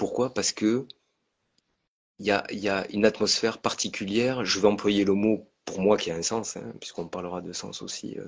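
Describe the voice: This man has a fairly low pitch and vocal fry. He speaks at a moderate pace with fairly even intonation.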